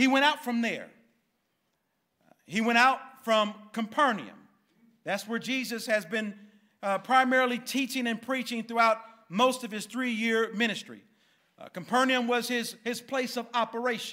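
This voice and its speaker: Raising and projecting his voice, a man speaks at a moderate pace in a bright, sharp tone with fairly even intonation and long, frequent pauses over a quiet background. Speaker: pastor. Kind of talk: sermon. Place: church. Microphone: podium.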